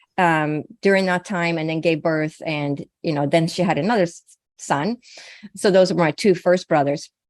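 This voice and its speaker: A woman with a Swedish accent speaks at a moderate pace with fairly even intonation. The sound is dry and close with no echo, over a quiet background. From Sweden. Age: 60s. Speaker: naturopathic physician and psychic medium. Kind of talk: interview.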